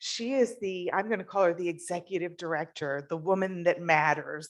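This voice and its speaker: This woman's voice sits at a medium pitch. Its pitch varies in an ordinary way. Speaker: club member. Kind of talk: introduction speech. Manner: loud.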